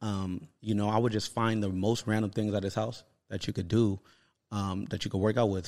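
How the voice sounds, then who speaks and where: At a fairly quick pace, a man with a fairly low pitch speaks in a monotone, flat intonation. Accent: American. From Los Angeles, California. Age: 30s. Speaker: fitness influencer. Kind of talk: casual chat.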